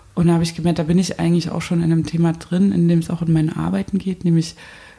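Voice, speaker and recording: Her pitch is fairly low for a woman. The intonation stays monotone and flat. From eastern Germany (Saxony, Zwickau). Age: 30s. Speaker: installation artist. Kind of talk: interview. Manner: hesitant with many fillers.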